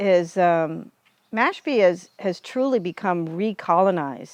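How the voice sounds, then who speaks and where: A woman with an American accent speaks at a fairly low pitch with ordinary pitch variation, in a dry, close sound with no echo over a quiet background. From US Northeast, Cape Cod, Massachusetts. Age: 60s. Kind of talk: interview.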